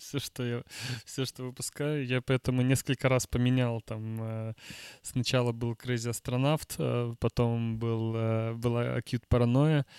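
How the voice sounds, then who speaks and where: In a very clean recording with a silent background and a dry, close sound with no echo, a man speaks fairly slowly at a medium pitch in a monotone, flat intonation. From Russian Far East, Vladivostok. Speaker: music producer. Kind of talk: casual chat.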